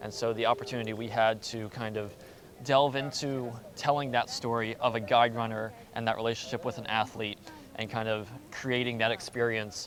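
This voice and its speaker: Over noticeable background noise, a man speaks at a fairly quick pace in a medium-pitched, monotone, flat voice. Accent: American. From US, Baltimore, Maryland. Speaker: postgraduate student, podcaster. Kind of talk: casual interview. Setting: outdoors, walking around a square.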